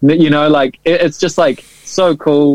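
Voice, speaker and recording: At a fairly slow pace, a man with a New Zealand accent speaks in a dry, close sound with no echo. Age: 30s. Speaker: drummer and producer. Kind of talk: casual chat. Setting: video call.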